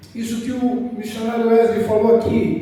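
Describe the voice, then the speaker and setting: In audible room echo, a man speaks at a fairly slow pace with an extremely high pitch. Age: 60s. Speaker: pastor. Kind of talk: sermon. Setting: church.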